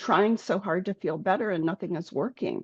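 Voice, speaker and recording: Medium in pitch with ordinary pitch variation, a woman talks in an unremarkable speaking voice. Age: 60s. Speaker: health coach. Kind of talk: interview.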